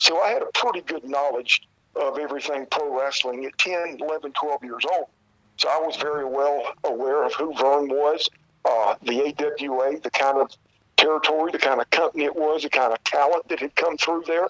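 With a dry, close sound and no echo, a man speaks at a fairly high pitch with ordinary pitch variation. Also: moderate pace. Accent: Southern US. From South Carolina. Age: 50s. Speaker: retired pro wrestler. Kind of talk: interview. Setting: phone call.

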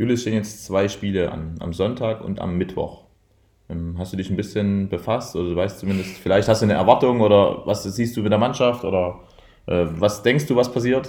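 A man's dark, mellow voice at a fairly low pitch, moderate pace and ordinary pitch variation. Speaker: handball coach. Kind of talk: interview. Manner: indistinct, slurred.

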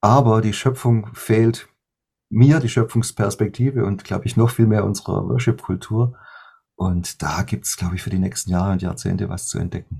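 Over a silent background in a very clean recording, the speaker's dark, mellow tone carries vocal fry, ordinary pitch variation and a moderate pace. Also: man, fairly low pitch for a man. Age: 50s. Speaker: worship musician and songwriter. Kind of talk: interview.

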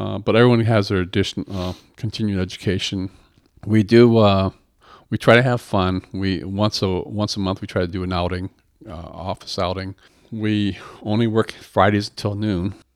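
A man talks with a Midwestern American accent in a fairly low pitch and fairly even intonation. The recording is very clean, with a silent background. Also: moderate pace. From Michigan, Battle Creek. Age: 60s. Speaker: tax attorney and accountant. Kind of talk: interview.

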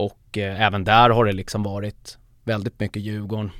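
A flat, monotone male voice pitched fairly low, in a dry, close sound with no echo. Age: 30s. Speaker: football supporter group founder. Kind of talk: casual interview.

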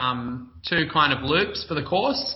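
In an Australian accent, a man talks at a very slow pace. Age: 20s. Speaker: obstacle course racer. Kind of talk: casual interview.

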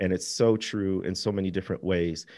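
On a very clean recording with a silent background, a man speaks at a moderate pace in a fairly low, dark and mellow voice with monotone, flat intonation. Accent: American. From US Midwest. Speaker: author. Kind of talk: interview conversation.

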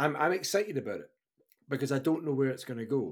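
A man speaks with a Scottish accent. His intonation is lively. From Scotland, Fife (Kirkcaldy). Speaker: podcast host. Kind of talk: casual chat. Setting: live-streamed remote recording.

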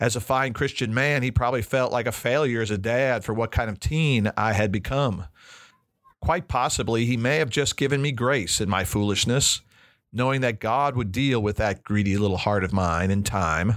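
In a very clean recording with a silent background, a man has an unremarkable speaking voice at medium pitch, with ordinary pitch variation, very even loudness and a moderate pace. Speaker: biblical counselor and podcast host. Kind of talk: recorded teaching talk.

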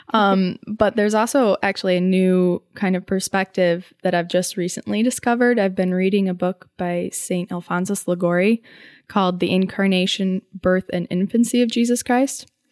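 In a very clean, dry recording with a silent background and a close sound with no echo, a woman uses an unremarkable speaking voice at a medium pitch and a moderate pace, with fairly even intonation and hardly any pauses. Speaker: college student. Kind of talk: casual chat.

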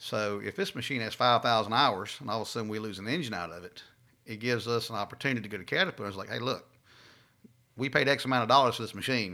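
With a Southern US accent, a man speaks very fast at medium pitch in a bright, sharp tone, with ordinary pitch variation and big swings in loudness, on a very clean recording with a silent background. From Louisiana, south of Alexandria. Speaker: fleet manager. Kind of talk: casual interview.

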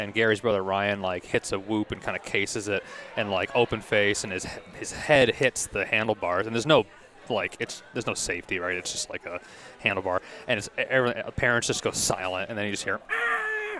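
A man speaks at a fairly quick pace in a fairly low voice. Noticeable background noise is present. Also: fairly even intonation. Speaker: race car driver. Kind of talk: casual chat. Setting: restaurant dinner.

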